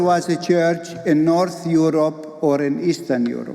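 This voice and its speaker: A man with an Arabic accent speaks at a very slow pace. His pitch is fairly high, and there is noticeable background noise. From Palestine. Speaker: pastor and theologian. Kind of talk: keynote speech.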